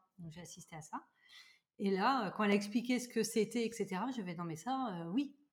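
Somewhat breathy, this woman's voice rests at a medium pitch. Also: ordinary pitch variation, moderate pace. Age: 30s. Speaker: Reiki master and energy practitioner. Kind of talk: casual chat.

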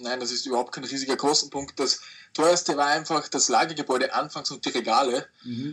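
Speaking fairly quickly in a plain, everyday voice, a man keeps a fairly high pitch and fairly even intonation. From Austria. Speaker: online reseller. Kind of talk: interview.

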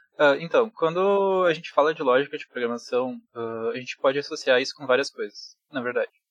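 In a dry, close sound with no echo, a man with a normal speaking voice talks at a fairly high pitch, his loudness swinging widely and hardly any pauses between words. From Rio Grande do Sul, Brazil (Bento Gonçalves). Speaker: programmer. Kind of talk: casual chat.

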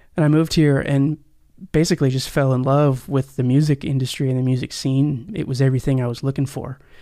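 A man with an American accent speaks at a fairly high pitch with fairly even intonation in a normal speaking voice. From Oklahoma (Tulsa). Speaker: musician and guitar repairer. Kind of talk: interview, casual chat.

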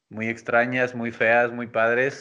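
At a fairly slow pace and medium pitch, a man speaks in an unremarkable speaking voice. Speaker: podcaster guest. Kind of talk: casual chat.

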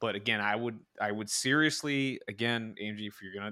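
Very clean recording, silent background, a man with a fairly low pitch and ordinary pitch variation. He speaks at a fairly quick pace in a bright, sharp tone. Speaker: podcast co-host. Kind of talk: casual chat about game strategy.

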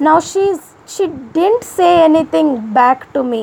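Over noticeable background noise, a woman talks fairly slowly with an Indian accent. Her pitch is high with ordinary variation. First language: an Indian language other than Hindi. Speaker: YouTube vlogger. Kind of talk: personal monologue vlog.

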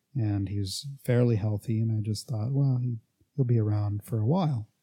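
A man's fairly low voice has a dark, mellow tone and is somewhat breathy. The background is quiet. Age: 30s. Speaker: fitness podcast host and coach. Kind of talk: casual solo monologue. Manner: hesitant, many fillers.

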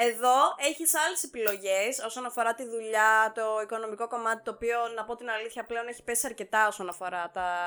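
In an unremarkable speaking voice, a woman talks at a fairly high pitch and a fairly quick pace with hardly any pauses and ordinary pitch variation, on a very clean recording with a silent background. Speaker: podcast co-host. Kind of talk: casual chat.

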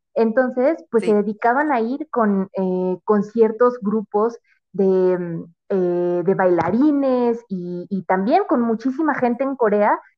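A woman is speaking at a fairly slow pace. Her pitch variation is ordinary. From Mexico City. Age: 20s. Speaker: marketing professional. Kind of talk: casual interview. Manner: halting, many fillers.

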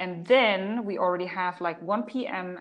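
A medium-pitched woman's voice at a very slow pace, with ordinary pitch variation. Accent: German. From Germany, Polish parents. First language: German. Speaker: business coach and author. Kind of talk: interview. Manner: animated.

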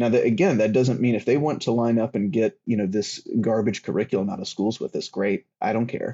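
With an American accent, a man talks at a fairly quick pace with hardly any pauses, using an ordinary speaking voice at medium pitch with ordinary pitch variation. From US South. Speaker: writer on political theology. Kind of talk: casual discussion.

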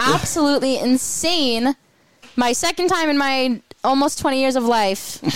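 A woman's high voice has lively intonation. Noticeable background noise can be heard. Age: young, about 19. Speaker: radio show co-host. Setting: live broadcast from a hockey arena. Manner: very fast talker; fast talker, hard to follow at times.

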